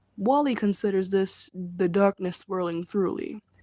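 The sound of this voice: Intonation stays fairly even throughout. What carries it is an unforced reading voice.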